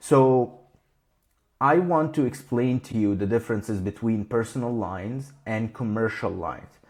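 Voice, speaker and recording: With a non-native accent, a man talks at a moderate pace in a medium pitch with ordinary pitch variation. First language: not English. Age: 20s. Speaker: insurance broker. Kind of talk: slide presentation talk. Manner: casual.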